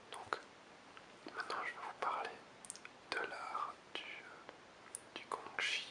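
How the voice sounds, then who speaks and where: Over noticeable background noise, a man whispers at a very slow pace, leaving long, frequent pauses. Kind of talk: ASMR whispered talk. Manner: whispered.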